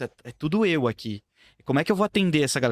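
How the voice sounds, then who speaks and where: A man talks very fast with very wide pitch swings. The recording is very clean with a silent background, and the sound is dry and close with no echo. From São Paulo, Brazil. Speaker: videomaker. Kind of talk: casual chat. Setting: studio.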